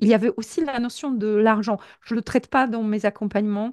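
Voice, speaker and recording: A woman with a Polish accent talks at a moderate pace in a fairly high pitch. She uses ordinary pitch variation over a quiet background. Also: dry, close sound with no echo. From Poland. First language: Polish (speaking French). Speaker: professional coach. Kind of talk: interview. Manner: hesitant, many repetitions.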